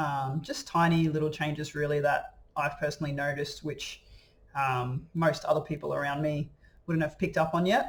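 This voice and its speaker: The man's voice sits fairly high in pitch and sounds somewhat breathy, with fairly even intonation. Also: moderate pace. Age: 20s. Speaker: vlogger documenting gender transition. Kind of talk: casual video diary. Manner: hesitant, many fillers.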